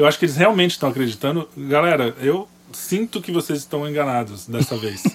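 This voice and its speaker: This man has an unremarkable speaking voice, fairly high in pitch, with lively intonation. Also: fairly quick pace. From Brazil. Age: 30s. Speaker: podcast producer. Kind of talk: casual political discussion.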